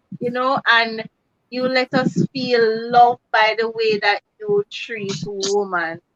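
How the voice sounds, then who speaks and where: Very slowly, a woman speaks with fairly even intonation at a fairly high pitch. The sound is dry and close, with no echo. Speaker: cooking channel host. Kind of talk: casual chat. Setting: live video stream.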